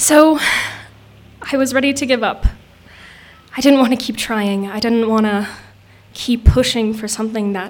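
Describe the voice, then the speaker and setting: Over audible room echo, a woman with a fairly high pitch talks at a moderate pace, leaving long, frequent pauses. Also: fairly even intonation. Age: young. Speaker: storyteller. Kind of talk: storytelling on stage. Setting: outdoor stage with audience.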